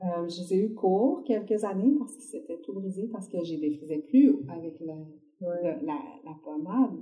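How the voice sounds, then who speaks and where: A somewhat breathy, dark, mellow voice with a Quebec accent, very wide pitch swings, big swings in loudness and a fairly slow pace. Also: woman, medium pitch for a woman. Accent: Québécois French. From Quebec City, Quebec. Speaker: visual artist. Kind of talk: interview conversation.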